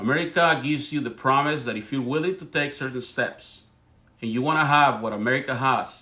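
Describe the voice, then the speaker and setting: A man with a strong Spanish accent speaks fast-ish in a bright, sharp, fairly high voice with ordinary pitch variation. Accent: thick Spanish. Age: 40s. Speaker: political commentator. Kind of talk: live stream monologue. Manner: halting; animated.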